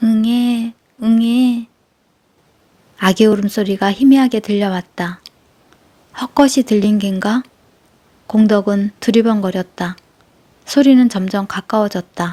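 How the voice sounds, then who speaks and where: Her voice is fairly high in pitch, somewhat breathy and dark and mellow in tone. The woman talks at a very slow pace with fairly even intonation and long, frequent pauses. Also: dry, close sound with no echo. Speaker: audiobook narrator. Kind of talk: sleep story.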